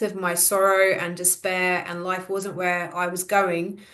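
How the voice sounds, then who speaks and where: A woman talks at a moderate pace with a medium pitch. Audible room echo surrounds her voice. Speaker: podcast guest, membership group member. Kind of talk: casual chat.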